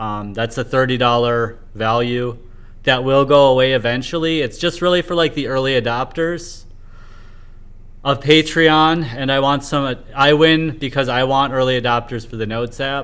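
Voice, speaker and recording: In a plain, everyday voice, a man speaks at a medium pitch and a moderate pace with ordinary pitch variation. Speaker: livestreamer, homeless indie developer. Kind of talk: casual livestream monologue.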